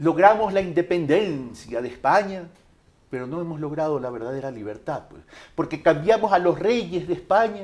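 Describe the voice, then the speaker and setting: The intonation is lively. The pace is moderate. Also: man, high pitch for a man. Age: 60s. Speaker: presidential candidate. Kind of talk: interview.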